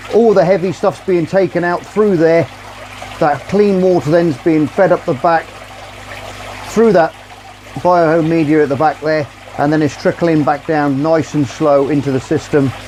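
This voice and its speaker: With an English accent, a man speaks at a fairly high pitch and a moderate pace, with ordinary pitch variation and long, frequent pauses. Noticeable background noise can be heard. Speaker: aquarium hobbyist youtuber. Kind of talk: tutorial. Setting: outdoors by a pond. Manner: loud; casual.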